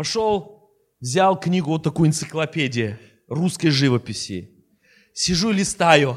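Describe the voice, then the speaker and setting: A man with an Armenian accent speaks at a moderate pace in a fairly high pitch with lively intonation on a very clean recording with a silent background. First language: Armenian (speaking Russian). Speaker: bishop. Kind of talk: sermon. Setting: church.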